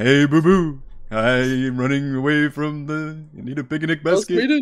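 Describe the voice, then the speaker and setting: A man talks at a moderate pace in a put-on character voice pitched fairly high. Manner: derpy.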